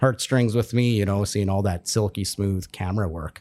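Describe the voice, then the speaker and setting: At a fairly quick pace, a man speaks in an unremarkable speaking voice of fairly low pitch, with fairly even intonation, on a very clean recording with a silent background. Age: 30s. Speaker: podcast host. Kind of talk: casual chat.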